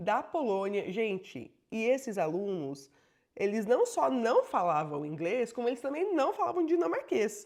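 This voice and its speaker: A woman's fairly high, animated voice with vocal fry, fairly slow pace and very wide pitch swings. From Brazil. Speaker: bilingual educator and vlogger. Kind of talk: personal storytelling vlog.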